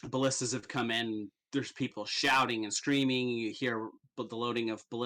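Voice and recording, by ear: Reading aloud in a natural voice, with fairly even intonation, against a quiet background.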